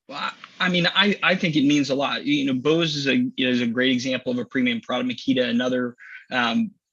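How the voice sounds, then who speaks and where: Man with a Midwestern American accent, medium in pitch, at a fairly quick pace. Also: ordinary pitch variation. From Missouri, US. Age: 40s. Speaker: business executive. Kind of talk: casual interview. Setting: live stream.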